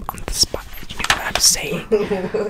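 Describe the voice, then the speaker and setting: Whispering from a man. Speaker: ASMR creator. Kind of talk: ASMR whispered reading. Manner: whispered. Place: home room.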